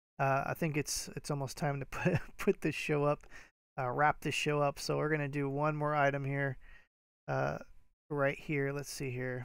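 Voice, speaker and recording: Over a silent background in a very clean recording, a man speaks at a moderate pace. His pitch is fairly high and his intonation monotone and flat. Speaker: eBay reseller. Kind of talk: live stream chat. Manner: casual with many fillers.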